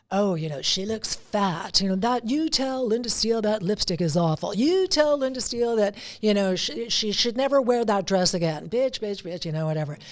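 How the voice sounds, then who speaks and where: A woman's medium-pitched voice, animated in tone, with lively intonation at a moderate pace. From Alberta, Canada. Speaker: veteran TV anchor and radio host. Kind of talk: casual chat.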